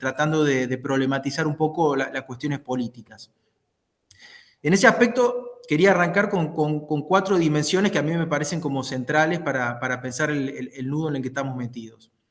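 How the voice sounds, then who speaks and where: A man speaks with a Córdoba accent. His pitch is fairly high. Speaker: political scientist. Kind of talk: talk in an online discussion. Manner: halting, many fillers.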